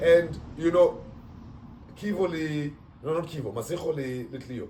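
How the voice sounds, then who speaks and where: Over noticeable background noise, a man with a fairly high pitch talks at a moderate pace, showing ordinary pitch variation and big swings in loudness. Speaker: podcast host. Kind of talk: casual chat.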